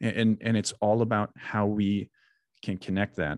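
A man with an American accent and a plain, everyday voice, fairly low in pitch at a moderate pace, dry and close with no echo over a quiet background. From US Midwest, southern Wisconsin. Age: 30s. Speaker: military veteran and mental health coach. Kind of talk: podcast interview.

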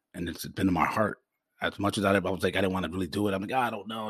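With an American accent, a man of fairly low pitch talks at a very fast pace. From Forest Park, US. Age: 40s. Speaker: podcaster in addiction recovery. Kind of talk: personal monologue. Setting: home microphone recording. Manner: halting.

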